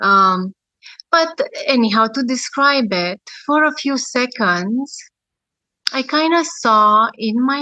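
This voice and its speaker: A woman with a Romanian accent speaks very slowly in a fairly high voice. Her tone is bright and sharp, and her intonation is lively. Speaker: near-death experiencer. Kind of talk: testimony. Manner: hesitant, many fillers.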